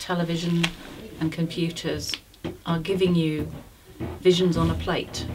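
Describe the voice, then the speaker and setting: With noticeable background noise behind her, a woman speaks at a moderate pace in a fairly low voice. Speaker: storyteller. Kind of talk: interview answer.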